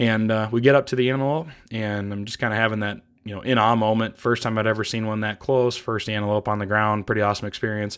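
In a very clean recording with a silent background, a man with a fairly low pitch and an American accent talks at a very fast pace with fairly even intonation. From US Midwest, Iowa. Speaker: podcast host, hunter. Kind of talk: solo podcast monologue. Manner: casual, with many filler words.

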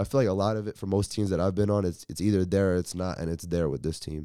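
Speaking very fast, a man with an American accent has a dark, mellow tone and a fairly low pitch with ordinary variation. The recording is very clean, with a silent background. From US. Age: 20s. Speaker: college basketball player. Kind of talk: interview.

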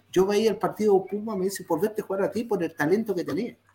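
The male speaker's voice sits high in pitch. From Chile. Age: 60s. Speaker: retired footballer. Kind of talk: interview.

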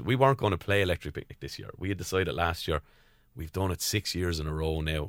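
A man with a Waterford Irish accent talks at a very fast pace in a very deep, low voice, in a very clean recording with a silent background and a dry, close sound with no echo. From Ireland, County Waterford. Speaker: singer and percussionist. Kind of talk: casual chat. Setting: studio.

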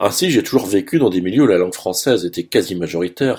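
This man talks at a very fast pace with a very deep, low pitch. His recording is very clean, with a silent background. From Saint-Pierre-et-Miquelon. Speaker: radio columnist. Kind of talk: scripted radio commentary. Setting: radio studio.

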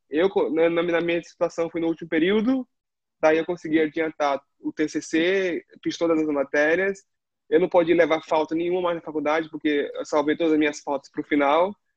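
A man's high pitch, fairly even intonation and moderate pace, in a dry, close sound with no echo. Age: 20s. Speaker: former theme park worker. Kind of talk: casual chat.

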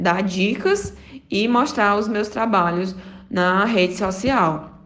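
Very slow speech from a woman, with ordinary pitch variation and audible room echo. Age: 20s. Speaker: beauty professional and influencer. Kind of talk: interview testimony.

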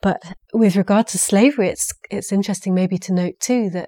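Dark, mellow, and medium in pitch, a woman's voice with a southern English accent and ordinary pitch variation comes through a very clean recording with a silent background and a dry, close sound with no echo. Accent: English (southern, educated). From England. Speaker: saga scholar, university researcher. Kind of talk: interview.

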